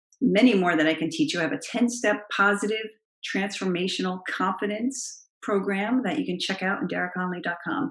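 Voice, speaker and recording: A woman's medium-pitched voice with lively intonation over a quiet background. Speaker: confidence coach, public speaking coach. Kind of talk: tutorial.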